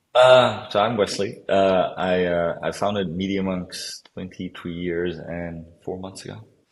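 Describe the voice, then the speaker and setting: The speaker moves at a fairly slow pace with fairly even intonation, though the loudness swings widely. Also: man, very deep, low pitch for a man. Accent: Dutch. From Amsterdam, Netherlands. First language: Dutch. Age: 40s. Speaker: company founder. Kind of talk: interview. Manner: hesitant, many fillers.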